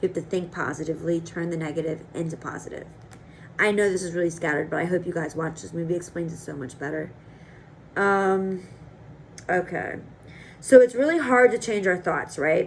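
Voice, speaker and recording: Her fairly low voice moves at a fairly quick pace, with ordinary pitch variation, big swings in loudness, and long, frequent pauses. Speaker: vlogger. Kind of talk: casual vlog monologue. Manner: fast.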